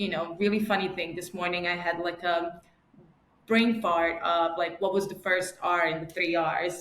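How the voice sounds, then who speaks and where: In a New York accent, a woman with a fairly low pitch speaks at a moderate pace with monotone, flat intonation and audible room echo. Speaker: marketing director. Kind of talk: podcast interview. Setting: call.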